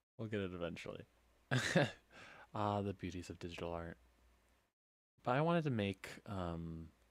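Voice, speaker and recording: Speaking at a moderate pace with long, frequent pauses, a man uses a very deep, low pitch and ordinary pitch variation. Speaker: gaming streamer. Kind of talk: casual live stream chat while drawing. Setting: live stream. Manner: halting, stumbles over words.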